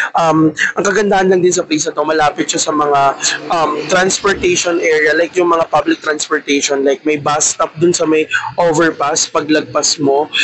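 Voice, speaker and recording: Over noticeable background noise, a man with a fairly high pitch talks at a very even loudness. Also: moderate pace. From Philippines. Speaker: travel vlogger. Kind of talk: casual travel vlog. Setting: outdoors on a street. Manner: energetic.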